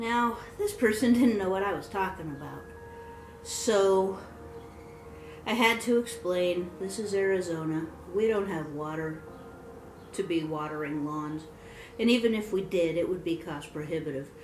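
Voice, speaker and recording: Music plays in the background and room echo is audible as a woman speaks at a moderate pace with ordinary pitch variation and long, frequent pauses. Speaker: home vlogger. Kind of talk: casual vlog chat. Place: home room. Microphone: phone near.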